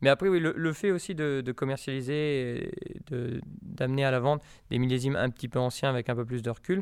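His pitch is medium and shows ordinary pitch variation. The man talks at a moderate pace. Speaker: winegrower. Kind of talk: interview. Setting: tasting cellar at the estate.

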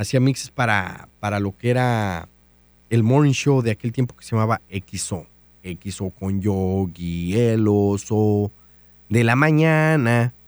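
Recorded dry and close with no echo and a silent background, a man with a fairly low pitch and ordinary pitch variation talks at a very slow pace with big swings in loudness. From Mexico, Guanajuato. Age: 30s. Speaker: radio DJ and podcaster. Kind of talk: casual monologue.

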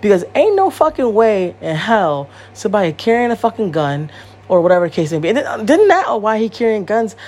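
Over noticeable background noise, a woman with an American accent talks at a fairly quick pace in an animated tone, her fairly high voice making very wide pitch swings. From Connecticut, US. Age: 30s. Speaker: podcast host. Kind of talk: casual solo monologue. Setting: home recording. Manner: animated, many fillers.

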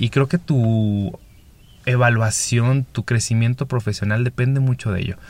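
With an ordinary speaking voice, a man of medium pitch talks at a moderate pace with ordinary pitch variation. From northern Mexico, Chihuahua. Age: 30s. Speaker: podcast host and game developer. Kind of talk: solo podcast monologue.

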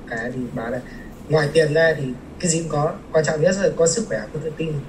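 A man's fairly high voice comes through noticeable background noise and audible room echo. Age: 20s. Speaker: civil engineer. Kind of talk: casual interview.

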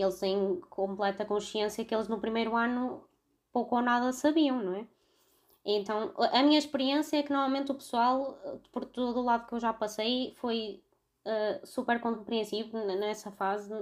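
Fairly high pitch and a moderate pace in a woman's plain, everyday voice, her pitch varying in an ordinary way. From Portugal, Vila Nova de Gaia (Porto area). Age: 20s. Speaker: veterinary student. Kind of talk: casual chat.

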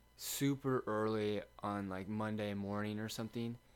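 A man with a Midwestern American accent talks at a fairly slow pace and a fairly low pitch. His intonation stays fairly even, with music playing in the background. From Lindsborg, Kansas. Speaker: college sprinter. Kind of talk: casual chat. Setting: home guest room.

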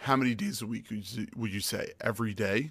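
This is an unremarkable speaking voice from a man at medium pitch. He talks at a moderate pace. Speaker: podcast host. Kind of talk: casual interview chat. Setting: live stream.

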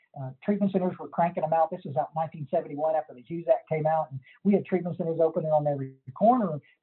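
Speaking with a Texas accent, a man uses a fairly high pitch and ordinary pitch variation. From Texas Hill Country. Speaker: recovery counselor and sponsor. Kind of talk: casual interview.

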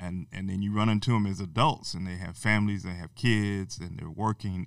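In a very clean recording with a silent background, a man with an American accent speaks at a moderate pace, fairly low in pitch, with fairly even intonation. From Texas (Amarillo). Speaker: university diversity officer, former teacher. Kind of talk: interview. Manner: many fillers and hesitations.

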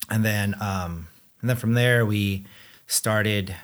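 Recorded very cleanly against a silent background, a man with a plain, everyday voice and fairly low pitch speaks at a fairly slow pace with fairly even intonation. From Southern California (Anaheim), born in the Philippines. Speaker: gym owner and breast cancer co-survivor. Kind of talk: casual interview.

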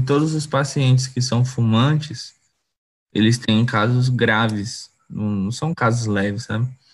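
A somewhat breathy man's voice at medium pitch, with ordinary pitch variation. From Gurupi, Tocantins, Brazil. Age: 20s. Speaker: photographer and artist. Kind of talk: casual chat. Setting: live stream.

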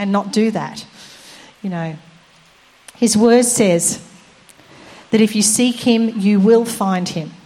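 Noticeable background noise behind a woman's fairly high voice with ordinary pitch variation. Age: 60s. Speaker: preacher. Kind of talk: sermon.

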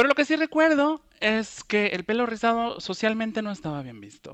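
A man is speaking. His pace is moderate. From Ecuador, then Bilbao from age 15. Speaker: curly hair enthusiast, social media user. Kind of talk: casual interview chat.

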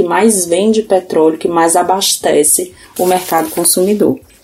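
This woman's voice sits at a medium pitch. It has a dark, mellow tone. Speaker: geography teacher. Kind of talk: recorded educational tip. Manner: didactic.

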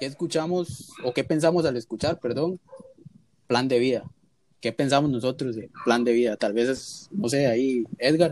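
A man's normal speaking voice, medium in pitch, with ordinary pitch variation at a moderate pace. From Costa Rica. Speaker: podcast host. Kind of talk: casual chat.

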